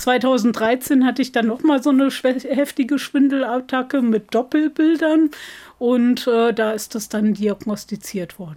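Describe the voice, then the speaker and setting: The pace is fairly slow. Its tone is dark and mellow, with ordinary pitch variation. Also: woman, high pitch for a woman. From Germany, East Westphalia-Lippe. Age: 40s. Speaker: deacon and social worker living with MS. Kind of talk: interview.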